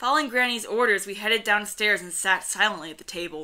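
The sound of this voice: An unforced reading voice with ordinary pitch variation.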